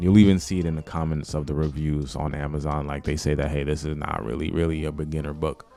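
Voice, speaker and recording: A man with a New York accent talks at a very fast pace, with hardly any pauses and a very deep, low pitch. His intonation is fairly even over noticeable background noise. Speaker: YouTuber, language learning vlogger. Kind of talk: casual vlog tutorial. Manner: casual, with many fillers.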